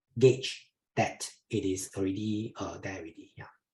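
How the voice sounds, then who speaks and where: A man speaks with a Chinese accent in a dark, mellow, somewhat breathy tone. His pitch sits fairly low and varies in an ordinary way. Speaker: investment educator. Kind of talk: webinar Q&A. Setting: online webinar. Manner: halting, many fillers.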